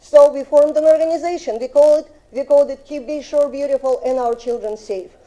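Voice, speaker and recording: A woman with a Russian accent speaks very fast with hardly any pauses, her high pitch carrying a dark, mellow tone and ordinary pitch variation. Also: big swings in loudness. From Russia (Soviet Union). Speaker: resident speaking at public hearing. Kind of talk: public comment at city council. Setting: city council chamber. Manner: halting.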